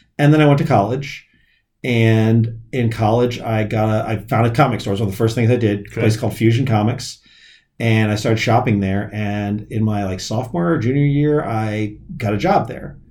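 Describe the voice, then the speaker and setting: Audible room echo is present in the recording. The delivery moves fairly quickly. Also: man, medium pitch for a man, ordinary pitch variation. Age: 40s. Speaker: comic shop owner. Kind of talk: casual chat.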